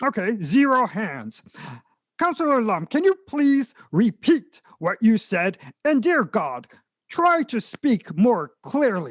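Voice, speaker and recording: This put-on character voice sits fairly high, swings very widely in pitch, and moves at a fairly slow pace. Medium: comedy sketch. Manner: exasperated.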